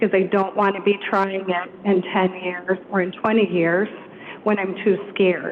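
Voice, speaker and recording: A woman's voice holds a medium pitch and very even loudness, monotone and flat in intonation, over noticeable background noise. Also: moderate pace. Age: 60s. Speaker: resident speaking at public comment. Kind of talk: public comment. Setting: city council meeting.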